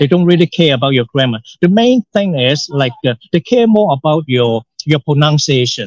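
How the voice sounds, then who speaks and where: At a moderate pace, a man with a Hong Kong accent speaks at a fairly high pitch, the sound dry and close with no echo. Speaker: English teacher. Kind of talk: casual podcast conversation. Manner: halting, many repetitions and fillers.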